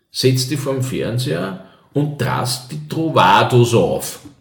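A man speaks at a medium pitch. Room echo is audible around him. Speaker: cabaret artist and former radio host. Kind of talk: casual interview.

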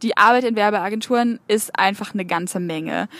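A woman with an ordinary speaking voice talks at a moderate pace, fairly high in pitch and fairly even in intonation. The sound is dry and close, with no echo. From northern Germany, Bremen. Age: 20s. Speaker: social media consultant. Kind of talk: interview.

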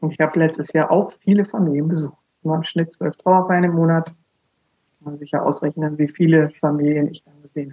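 A woman's very deep, low voice in a monotone, flat intonation. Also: fairly quick pace. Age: 50s. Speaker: funeral speaker. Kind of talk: interview.

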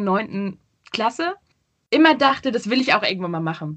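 Somewhat breathy and fairly high, a woman's voice moves through very wide pitch swings. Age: 20s. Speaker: social media professional. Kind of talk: interview. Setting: video call. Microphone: poor sound quality via video call.

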